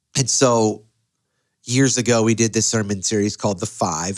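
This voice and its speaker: In a very clean recording with a silent background, a man with an American accent uses an ordinary speaking voice at medium pitch and a moderate pace. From US inner city. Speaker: pastor. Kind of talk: podcast interview conversation.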